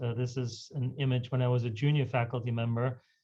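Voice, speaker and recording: A man with a German accent speaks at a very fast pace and a medium pitch. His voice is somewhat breathy, and his intonation is monotone and flat. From Germany. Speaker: physician, hematologist. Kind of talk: lecture. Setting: video call.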